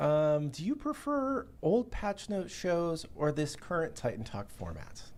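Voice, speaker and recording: The speech moves at a fairly slow pace, with hardly any pauses. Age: 40s. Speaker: game developer. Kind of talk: casual chat. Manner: halting.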